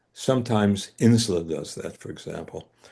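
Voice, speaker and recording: A man with a Bronx accent, fairly low in pitch, at a moderate pace with ordinary pitch variation, over a quiet background. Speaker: scholar teaching ancient texts. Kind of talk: lecture in a study group. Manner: hesitant, many fillers.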